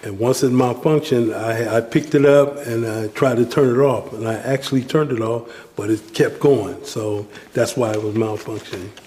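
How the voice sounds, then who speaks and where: Noticeable background noise accompanies a man speaking at a moderate pace with fairly even intonation. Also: medium pitch for a man. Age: 60s. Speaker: handyman, formerly homeless senior. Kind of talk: interview testimony. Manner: halting, many fillers.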